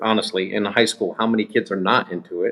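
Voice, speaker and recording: A man speaks with an American accent in an ordinary speaking voice. His pitch is medium and varies in an ordinary way. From United States. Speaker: paranormal investigator. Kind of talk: interview.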